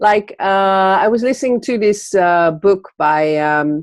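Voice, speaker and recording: Speaking very slowly with a Dutch accent, a woman uses lively intonation. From Netherlands. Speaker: entrepreneur, magazine publisher. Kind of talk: interview. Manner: halting, many fillers.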